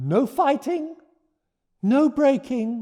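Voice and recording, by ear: A put-on character voice with a dark, mellow tone moves at a very slow pace through big pitch swings. The recording is very clean, with a silent background. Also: man, extremely high pitch for a man.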